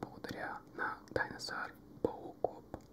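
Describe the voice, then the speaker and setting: A man whispering. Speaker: ASMR gaming creator. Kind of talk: ASMR gaming commentary. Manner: whispered. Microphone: studio mic.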